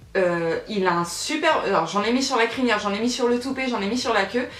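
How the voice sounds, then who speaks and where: A woman's fairly high voice carries lively intonation. Audible room echo and noticeable background noise surround it. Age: 20s. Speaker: YouTuber. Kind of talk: Q&A vlog. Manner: hesitant, many fillers.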